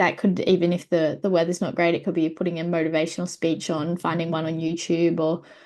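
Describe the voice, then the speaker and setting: The speech comes at a very fast pace with hardly any pauses and monotone, flat intonation. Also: woman, fairly low pitch for a woman. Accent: Australian. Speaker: para-athlete guest. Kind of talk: casual chat. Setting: video call.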